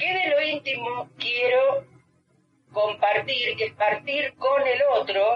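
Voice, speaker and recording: A woman speaks very slowly in a high pitch with ordinary pitch variation. Music plays in the background. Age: 60s. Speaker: psychologist. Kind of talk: interview. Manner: halting.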